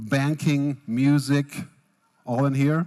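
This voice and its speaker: Over a silent background in a very clean recording, a man speaks with a fairly high voice. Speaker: futurist keynote speaker. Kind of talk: keynote speech. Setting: tent at a business festival with audience. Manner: fast.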